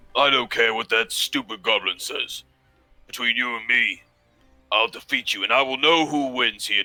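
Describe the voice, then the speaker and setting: A put-on character voice over faint background music. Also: man, medium pitch for a man, moderate pace. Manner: gruff, dismissive, contemptuous.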